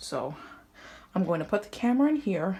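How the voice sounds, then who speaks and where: Over noticeable background noise, a woman talks at a moderate pace in a medium pitch with lively intonation. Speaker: HVAC hobbyist vlogger. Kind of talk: casual walkthrough video.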